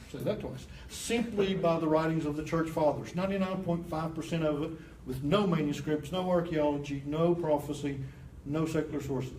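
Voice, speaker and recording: Speaking at a fairly quick pace, a man's voice carries audible room echo. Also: fairly high pitch for a man. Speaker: apologetics teacher. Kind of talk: lecture. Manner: animated.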